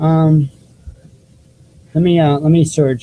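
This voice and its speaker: Speaking at a fairly slow pace, a man with a fairly high pitch has a dark, mellow tone and a somewhat breathy quality. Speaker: alternative news show host. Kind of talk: live online news show, casual talk to viewers. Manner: halting, many fillers and repeats. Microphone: cheap desktop microphone.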